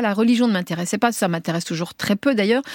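A woman speaks at a very fast pace and a fairly high pitch. The sound is dry and close, with no echo. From Tunisia (Tunis), raised in France from age 5. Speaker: writer and journalist. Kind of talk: radio interview. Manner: talks with her hands, voluble; halting, many repetitions.

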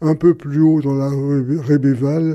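A man's fairly high voice with a dark, mellow tone, at a very slow pace. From Paris, Belleville. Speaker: Holocaust survivor. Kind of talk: testimony.

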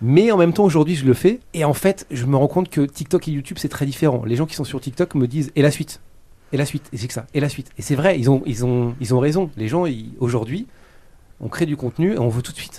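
With a dark, mellow tone and a fairly high pitch, a man speaks at a fairly quick pace with ordinary pitch variation. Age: 30s. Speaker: YouTuber. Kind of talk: interview. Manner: hesitant.

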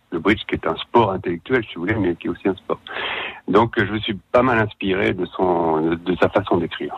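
With ordinary pitch variation, the man's very deep, low voice moves along at a moderate pace. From Savoie, France. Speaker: crime novelist. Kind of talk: radio interview.

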